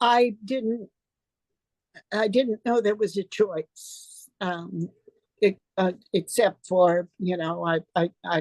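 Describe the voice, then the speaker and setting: A woman speaks at a very slow pace, leaving long, frequent pauses. The sound is dry and close, with no echo. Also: medium pitch for a woman, ordinary pitch variation. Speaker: retired professor and writer. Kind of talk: interview answer. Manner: hesitant, reflective.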